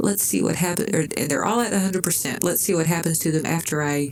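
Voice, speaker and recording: A woman talks at a fairly quick pace and fairly low pitch with ordinary pitch variation. Audible room echo and noticeable background noise are present. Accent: Southern US. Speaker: gaming YouTuber. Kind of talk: gameplay commentary. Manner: casual, thinking aloud with fillers.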